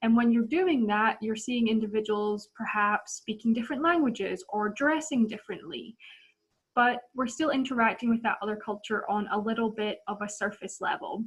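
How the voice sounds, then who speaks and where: In a Scottish accent, the speaker talks somewhat breathily at a moderate pace with ordinary pitch variation. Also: woman, fairly high pitch for a woman. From Scotland. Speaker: volunteer trainer. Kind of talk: training presentation.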